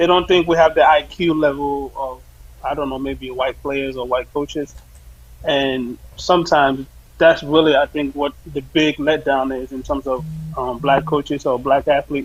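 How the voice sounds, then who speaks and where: A man's fairly high voice holds a flat, monotone intonation at a moderate pace. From Sierra Leone. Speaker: soccer coach. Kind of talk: interview.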